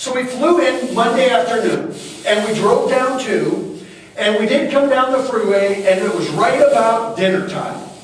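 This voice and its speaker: A loud, animated man's voice at an extremely high pitch, with ordinary pitch variation and a moderate pace, amid noticeable background noise and audible room echo. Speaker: tourism consultant. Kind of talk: presentation to community audience.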